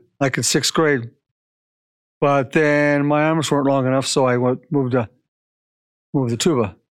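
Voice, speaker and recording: A man talks at a moderate pace in a fairly high pitch with fairly even intonation. He leaves long, frequent pauses on a very clean recording with a silent background. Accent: American. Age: 60s. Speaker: sports announcer and superfan. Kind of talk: casual interview. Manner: halting.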